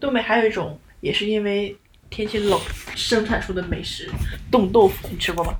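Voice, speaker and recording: The speaker moves at a fairly quick pace but takes long, frequent pauses. Pitch varies in an ordinary way, over noticeable background noise. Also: woman, medium pitch for a woman. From Northeast China. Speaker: podcast co-host. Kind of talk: casual chat.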